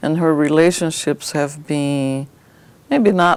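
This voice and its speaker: The woman's voice is very deep and low in pitch. Her intonation stays fairly even. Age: 60s. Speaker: therapy client. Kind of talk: therapy session talk. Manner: halting.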